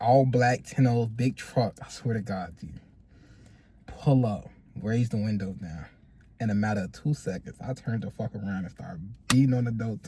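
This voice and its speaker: Dark, mellow tone from a man at medium pitch, somewhat breathy. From Chicago. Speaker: podcast co-host. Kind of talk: casual chat. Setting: in a car.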